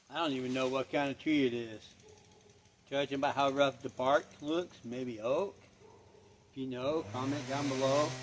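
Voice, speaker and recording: Pausing long and often, a man talks at a moderate pace and a medium pitch with fairly even intonation, over noticeable background noise. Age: 50s. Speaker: off-grid vlogger. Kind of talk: casual vlog narration while working. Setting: outdoors. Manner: casual, conversational.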